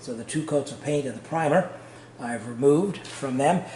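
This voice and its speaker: Noticeable background noise runs underneath speech delivered at a moderate pace. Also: man. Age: 60s. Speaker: home renovator. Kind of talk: tutorial. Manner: halting, many fillers.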